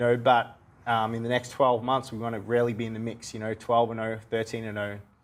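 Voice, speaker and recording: A man with an Australian accent talks at a fairly quick pace and medium pitch. His intonation is monotone and flat, with big swings in loudness. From Australia (Melbourne). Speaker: professional boxer. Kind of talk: TV interview.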